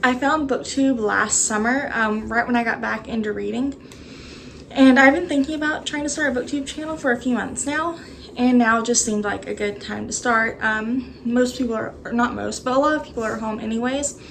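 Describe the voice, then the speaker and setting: A woman speaks at a fairly quick pace in a Texas accent, her voice high-pitched with fairly even intonation. The room echoes audibly, and background noise is noticeable. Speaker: booktuber. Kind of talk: casual vlog chat. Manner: hesitant, many fillers.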